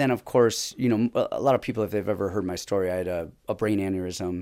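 A man with a plain, everyday voice, fairly low in pitch, at a fairly quick pace, on a very clean recording with a silent background. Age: 40s. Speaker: MMA coach and former pro fighter. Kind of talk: casual chat.

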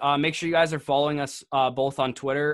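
A man with a Canadian accent, medium pitch, very fast pace. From Canada. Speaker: fantasy football podcast host. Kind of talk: casual chat.

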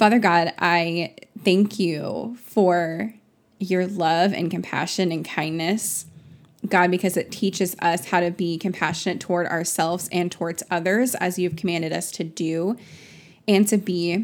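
In a very clean recording with a silent background, a woman talks at a fairly slow pace with fairly even intonation and a fairly low pitch, in an ordinary speaking voice. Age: 20s. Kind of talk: fervent spoken prayer, intimate and pleading; casual faith podcast monologue. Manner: earnest, imploring, repeated 'God' and 'Lord' addresses; chatty with frequent laughs and 'um' fillers.

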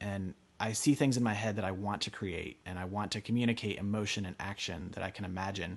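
Very fast, nearly pause-free American-accented speech with fairly even intonation over a quiet background. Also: man, fairly low pitch for a man. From rural Pennsylvania, US. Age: 20s. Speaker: artist. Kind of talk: interview storytelling.

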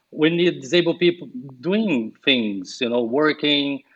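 Speaking very slowly, a man with a Portuguese accent uses lively intonation. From Brazil. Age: 40s. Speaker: yoga teacher. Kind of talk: casual interview chat.

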